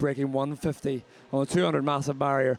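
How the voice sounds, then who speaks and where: A man with a Northern Irish accent, fairly high pitch and a very fast pace. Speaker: swimming commentator. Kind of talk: live commentary. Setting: aquatic centre commentary position. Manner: conversational.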